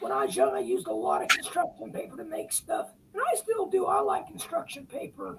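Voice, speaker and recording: A man talks at a fairly quick pace, his voice quiet and strained. Noticeable background noise runs under him. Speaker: model railroad hobbyist. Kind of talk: casual chat. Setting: live video stream. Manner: quiet, strained.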